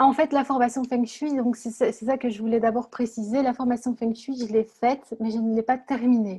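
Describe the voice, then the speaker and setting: In a dark, mellow tone, a woman speaks at a moderate pace with a high pitch and monotone, flat intonation. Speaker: blogger and author. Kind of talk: interview. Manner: calm, soft-spoken; halting, repeats words.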